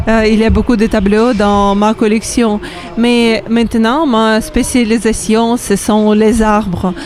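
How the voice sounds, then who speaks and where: A woman with a Ukrainian accent at a very slow pace, fairly high in pitch, fairly even in intonation, over noticeable background noise. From Ukraine, Kharkiv. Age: 30s. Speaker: painter. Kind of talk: interview. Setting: radio stand at a trade fair. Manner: halting, many hesitations.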